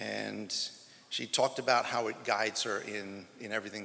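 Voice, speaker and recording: Talking at a moderate pace, a man is heard against noticeable background noise. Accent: American. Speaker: track and field head coach. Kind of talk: press conference speech. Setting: press conference.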